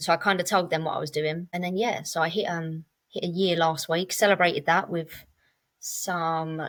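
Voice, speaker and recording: A woman with a southern English accent, fairly low in pitch, monotone and flat in intonation, at a moderate pace, on a very clean recording with a silent background. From England, Cambridge area. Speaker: podcast guest in sobriety. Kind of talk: casual interview chat. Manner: relaxed, conversational with fillers.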